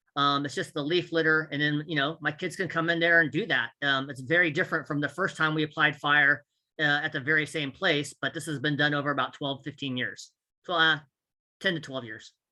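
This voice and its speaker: Against a quiet background, a man with an American accent talks at a fairly quick pace in a bright, sharp tone, with a fairly high pitch and fairly even intonation. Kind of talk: conference presentation. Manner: fast.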